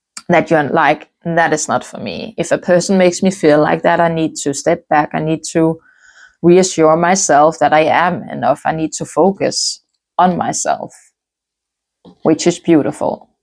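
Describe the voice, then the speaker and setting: A woman with a non-native accent speaks at a moderate pace and fairly low pitch, her intonation fairly even. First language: not English. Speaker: tarot reader. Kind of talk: tarot reading.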